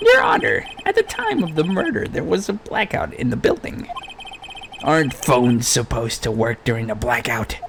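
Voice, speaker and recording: A put-on character voice moves at a moderate pace. Clear background noise sits behind it. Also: man. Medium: game stream. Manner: formal, self-assured.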